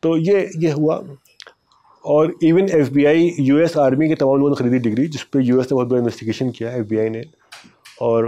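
Medium in pitch, this man talks at a fairly quick pace with a dark, mellow tone. His pitch varies in an ordinary way, and the background is quiet. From India, Lucknow; India. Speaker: journalist and author; journalist. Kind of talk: interview storytelling. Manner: conversational. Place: studio. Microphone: lapel.

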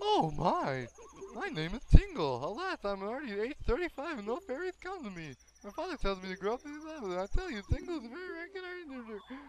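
A put-on character voice, pitched high, with very wide swings in pitch and a fairly quick pace. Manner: dramatic, whimsical.

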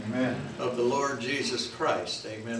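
Audible room echo and noticeable background noise surround the man speaking. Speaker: pastor. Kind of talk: sermon. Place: church. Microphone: camera far.

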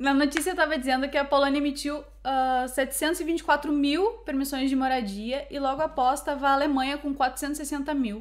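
At a moderate pace and with hardly any pauses, a woman talks in a high pitch with fairly even intonation. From Brazil. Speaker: YouTuber living abroad. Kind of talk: casual chat. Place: home room.

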